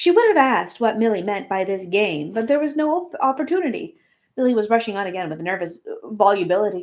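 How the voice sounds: With a quiet background, someone reads in a natural reading voice.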